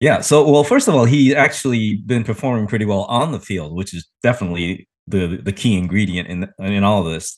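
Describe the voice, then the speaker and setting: Over a quiet background, a man with a plain, everyday voice and a fairly low pitch speaks at a fairly quick pace with lively intonation and hardly any pauses. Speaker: co-host.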